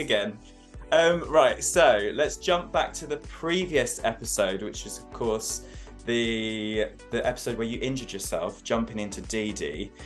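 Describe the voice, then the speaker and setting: Over music in the background, a man talks in an upbeat tone at a fairly slow pace, his loudness swinging a lot. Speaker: interview host. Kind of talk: interview questions.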